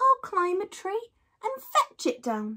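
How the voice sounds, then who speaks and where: Using a put-on character voice, a woman squeaks at an extremely high pitch, moving fairly slowly through very wide pitch swings. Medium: read story.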